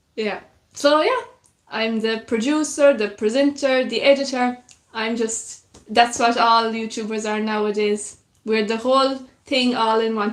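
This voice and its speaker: A woman speaks in a North Kerry accent with a fairly high pitch. Her pace is fairly slow and her intonation fairly even. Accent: North Kerry Irish. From Ireland, North Kerry. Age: 20s. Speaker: YouTuber, musician and broadcaster. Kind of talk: live stream chat with viewers. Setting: live stream.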